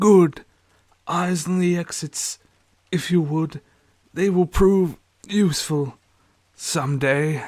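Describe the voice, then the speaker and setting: Doing a put-on character voice, a man speaks wheezy and raspy at a high pitch with fairly even intonation, at a very slow pace with long, frequent pauses. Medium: read story. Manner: measured, authoritative.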